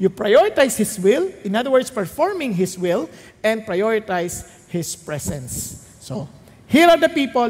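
A man's high voice leaps through very wide pitch swings. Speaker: pastor. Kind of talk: sermon.

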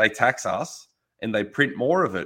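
A man speaks with an Australian accent at a moderate pace. The background is quiet. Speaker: farmer and butcher. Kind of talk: casual interview. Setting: video call.

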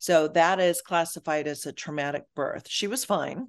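With a Midwestern accent, a woman talks at a moderate pace in a very deep, low voice with ordinary pitch variation against a quiet background. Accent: American Midwest. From Michigan, US. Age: 50s. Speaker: life coach and author. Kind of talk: interview.

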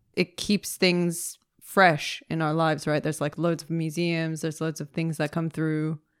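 A woman with an American accent speaks at a fairly low pitch in monotone, flat intonation, with hardly any pauses. The recording is very clean with a silent background and a dry, close sound with no echo. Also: moderate pace. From California. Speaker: American expat living in London. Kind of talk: casual chat. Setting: studio.

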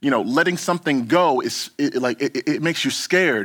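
A fairly quick delivery on a very clean recording with a silent background. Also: man. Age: 30s. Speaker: pastor. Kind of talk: sermon. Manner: casual, halting with many fillers and repeats.

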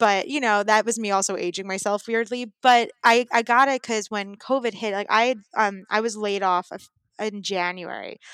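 With an American accent and an unremarkable speaking voice, a woman talks at a fairly high pitch and moderate pace with fairly even intonation, in a very clean, dry, close recording with a silent background and no echo. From New York City (Brooklyn). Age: 30s. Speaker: improv actor. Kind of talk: casual chat.

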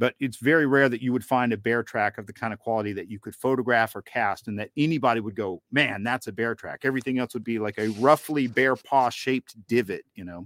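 A man with an American accent and an unremarkable speaking voice speaks at a medium pitch and fairly quick pace, with ordinary pitch variation, big swings in loudness and hardly any pauses, on a very clean recording with a silent background. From US South, northeast Georgia (Southern Appalachians). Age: 30s. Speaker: Bigfoot researcher and podcast producer. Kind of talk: interview.

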